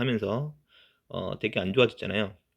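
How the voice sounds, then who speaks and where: A man talks in a medium pitch, his intonation lively. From provincial South Korea (outside Seoul). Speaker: online seller YouTuber. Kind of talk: talking-head vlog. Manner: hesitant, many fillers.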